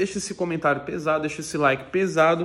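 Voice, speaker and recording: A man's high-pitched voice at a very fast pace. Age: 30s. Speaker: YouTuber, fitness influencer. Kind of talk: casual vlog monologue. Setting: at home. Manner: animated, slangy. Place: home room. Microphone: phone near.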